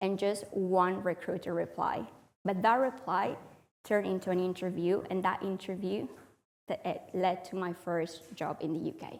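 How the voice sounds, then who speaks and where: A woman's moderately paced, fairly evenly intoned speech at a medium pitch, with a Spanish accent. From Spain. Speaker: public speaker. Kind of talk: talk to audience.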